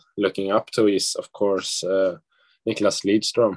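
Someone with a Swedish accent talks over a quiet background. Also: man. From Sweden. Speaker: ice hockey draft prospect. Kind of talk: press conference interview. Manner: halting, many fillers. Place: home room. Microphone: video call.

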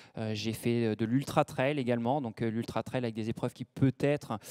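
A man's dark, mellow voice at a moderate pace, flat and monotone, against a quiet background. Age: 40s. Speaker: ultra-trail runner and mental coach; mental coach. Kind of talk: conference talk. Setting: conference room with audience. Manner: hesitant, many fillers. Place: hall. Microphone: handheld.

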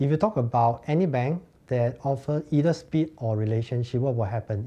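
A man speaks with a dark, mellow tone. His pace is moderate, with ordinary pitch variation. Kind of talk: interview answer. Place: office.

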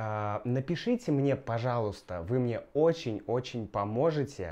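Here a man of medium pitch uses a dark, mellow tone with ordinary pitch variation. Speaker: language teacher vlogger; Russian language teacher vlogger. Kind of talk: casual vlog; casual vlog chat. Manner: soft-spoken, quiet; halting with fillers. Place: home room. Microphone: lapel.

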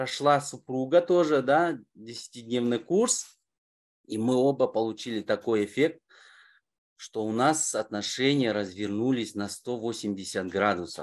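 Over a quiet background, a man talks very slowly with long, frequent pauses and lively intonation. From Kazakhstan, Almaty. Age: 40s. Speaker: course participant. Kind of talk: testimony. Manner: halting. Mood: warm, smiling, upbeat. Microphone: webcam.

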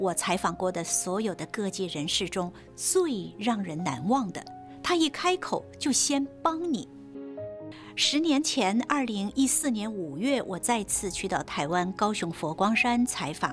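Speaking at a very slow pace, a woman uses a medium pitch with very wide pitch swings while faint music plays in the background. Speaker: TV host. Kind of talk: host introduction to camera. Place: studio. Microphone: lapel.

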